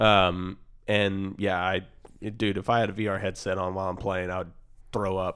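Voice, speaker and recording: A man with a very deep, low pitch speaks at a moderate pace in a flat monotone, leaving long, frequent pauses. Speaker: podcast host. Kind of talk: casual profane banter about politics.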